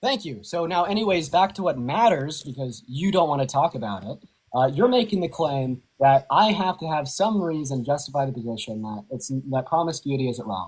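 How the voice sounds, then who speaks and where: A man's fairly high, somewhat breathy voice at a fairly quick pace, with very wide pitch swings and hardly any pauses. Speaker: online political debater. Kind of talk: heated debate. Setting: livestream call. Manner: fast.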